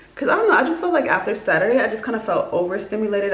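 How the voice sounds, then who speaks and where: A woman is speaking over noticeable background noise. The room gives off an audible echo. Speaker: vlogger. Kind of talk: casual vlog monologue. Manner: fast; many filler words.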